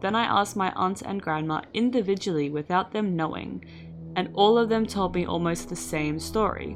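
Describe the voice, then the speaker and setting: Moderate pace from a woman, with background music. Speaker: faceless storytelling youtuber. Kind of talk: story reading with commentary.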